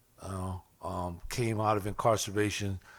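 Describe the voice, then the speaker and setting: Fairly even intonation marks an ordinary speaking voice on a very clean recording with a silent background. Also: man. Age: 60s. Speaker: addiction counselor and formerly incarcerated advocate. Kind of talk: panel testimony. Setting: legislative hearing room with audience.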